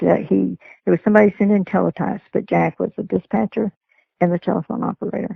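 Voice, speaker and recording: A woman with a Texan accent at a very fast pace. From Texas. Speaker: retired sheriff's dispatcher. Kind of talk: interview.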